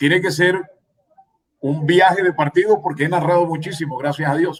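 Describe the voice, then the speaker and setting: A man speaks at a moderate pace in a high pitch. His intonation stays fairly even. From Colombian Caribbean coast, Magdalena. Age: 60s. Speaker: sports radio commentator. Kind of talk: radio interview.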